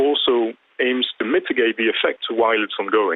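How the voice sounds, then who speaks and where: A man is speaking. He has a French accent. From France. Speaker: climate policy commentator. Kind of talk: TV news interview.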